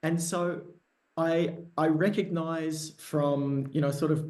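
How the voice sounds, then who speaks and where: This man has a fairly high pitch and a dark, mellow tone. He speaks with an Australian accent. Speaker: service designer. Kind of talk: Q&A discussion. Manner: halting, many fillers.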